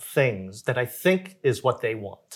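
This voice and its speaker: A man with an American accent speaks at a medium pitch in a somewhat breathy voice, recorded very cleanly against a silent background. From Korea, then Jamaica, Queens, New York from age 11. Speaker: nonprofit founder and executive director. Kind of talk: interview, personal life story. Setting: filmed interview.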